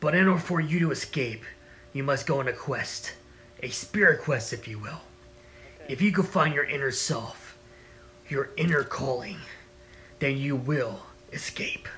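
A man with a fairly high pitch speaks with long, frequent pauses over clear music in the background. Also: moderate pace. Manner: calm, mysterious, apologetic.

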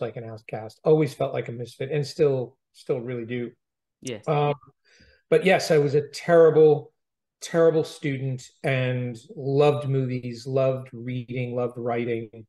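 Keeping a moderate pace, a man talks with fairly even intonation. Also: quiet background. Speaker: interviewee. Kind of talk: interview answer. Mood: reflective, warm. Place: office. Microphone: video call.

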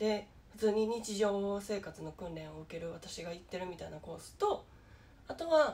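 A somewhat breathy woman's voice in a Kansai accent, with ordinary pitch variation. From Japan. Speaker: YouTuber with low vision; vlogger sharing low-vision experience. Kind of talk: casual vlog monologue; casual vlog chat. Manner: halting, many fillers. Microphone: phone near.

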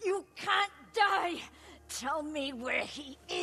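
A woman uses a put-on character voice, raspy and high in pitch. She speaks at a very slow pace with lively intonation. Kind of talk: dramatic fiction. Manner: desperate, shouting. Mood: desperate, demanding.

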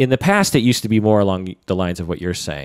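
Recorded very cleanly against a silent background, with dry, close sound and no echo, a man speaks in a plain, everyday voice, fairly low in pitch, with lively intonation. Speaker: podcast host and psychotherapist. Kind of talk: casual chat.

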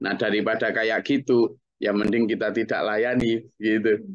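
Moderate-paced speech with ordinary pitch variation, in a dry sound with no echo and a quiet background. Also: man. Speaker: Islamic teacher. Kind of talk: religious study lecture. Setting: group study session. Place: home room. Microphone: webcam.

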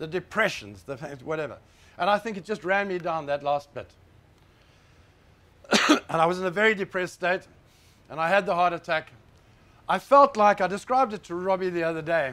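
A man speaks with a high-pitched voice. His pitch varies in an ordinary way. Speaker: conference speaker. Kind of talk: personal talk to an audience. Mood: serious, emotional story. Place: hall.

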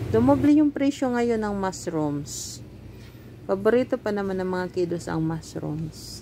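A woman speaks at a fairly slow pace with very wide pitch swings. Light background noise sits underneath. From Philippines. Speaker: cooking vlogger; home cooking vlogger. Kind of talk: casual vlog chat. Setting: shopping trip, on the way home. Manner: hesitant, many fillers. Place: shop. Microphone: phone near.

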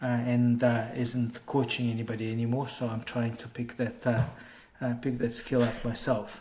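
Over light background noise, a man talks at a moderate pace with hardly any pauses, using monotone, flat intonation at a medium pitch in a dark, mellow, somewhat breathy tone. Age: 40s. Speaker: tech entrepreneur. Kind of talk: interview. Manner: halting, many fillers. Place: home room. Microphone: earbuds.

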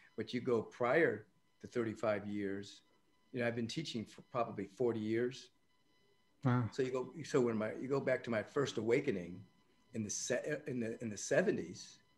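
His pitch moves in an ordinary way as the man talks, neither hurried nor slow, at a moderate pace. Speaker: podcast guest, spiritual teacher. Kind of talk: interview answer. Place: home room. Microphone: video call.

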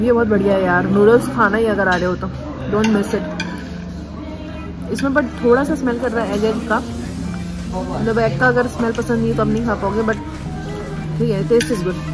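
Clear music plays in the background. A woman talks at a fairly quick pace. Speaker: food vlogger. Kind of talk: casual vlog chat, food review. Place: cafe. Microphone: phone near.

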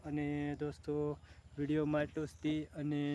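With a dark, mellow tone, the man speaks at a fairly high pitch. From Saurashtra, Gujarat (Amreli district). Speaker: village vlogger. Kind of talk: casual vlog. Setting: outdoors on a farm.

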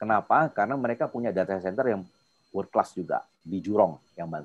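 At a fairly quick pace, a man speaks with lively intonation. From Jakarta, Indonesia. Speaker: invited speaker, industry professional; speaker. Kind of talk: webinar presentation with Q&A. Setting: video call. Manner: informal, filler-heavy. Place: home room. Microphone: video call.

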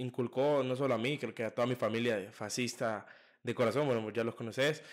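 A man at medium pitch, monotone and flat in intonation, over a quiet background. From El Salvador. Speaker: podcast host. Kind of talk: casual interview. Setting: studio. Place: home room. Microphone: studio mic.

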